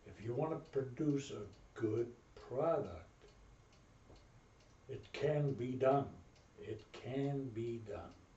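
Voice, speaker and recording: Very slow and somewhat breathy, a man speaks with long, frequent pauses, big swings in loudness and ordinary pitch variation. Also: medium pitch for a man. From Berlin, Germany. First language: German. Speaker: Navy veteran. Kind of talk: interview answer.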